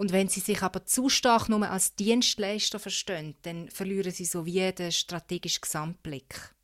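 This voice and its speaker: A woman speaks at a moderate pace in a normal speaking voice, her medium pitch showing ordinary variation. The sound is dry and close with no echo, in a very clean recording with a silent background. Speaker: political journalist. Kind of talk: casual chat.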